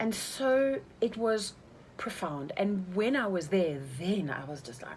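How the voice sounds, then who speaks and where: A woman's voice over noticeable background noise. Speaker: life coach and retreat leader. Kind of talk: casual chat. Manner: fast.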